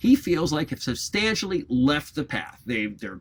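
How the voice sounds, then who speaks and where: Here a man talks at a moderate pace. He has an American accent. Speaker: college lecturer. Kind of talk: lecture. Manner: frequent fillers and hesitations.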